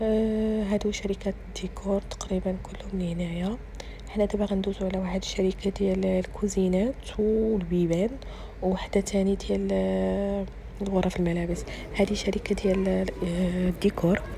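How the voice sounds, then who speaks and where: This is a woman talking at a moderate pace. Noticeable background noise runs under her voice. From Morocco. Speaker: family vlogger. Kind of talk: casual vlog narration. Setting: exhibition, then restaurant.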